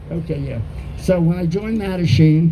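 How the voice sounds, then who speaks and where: A man's fairly high voice at a moderate pace with ordinary pitch variation, amid noticeable background noise and audible room echo. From US, born Baltimore, studied in Texas. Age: 80s+. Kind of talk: talk to an audience.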